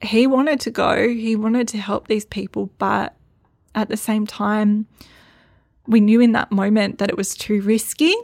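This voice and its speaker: A woman with an Australian accent, fairly high-pitched, at a moderate pace, her intonation fairly even, the sound dry and close with no echo. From Northern Rivers, New South Wales, Australia. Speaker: midwife and flood survivor. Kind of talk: personal storytelling monologue.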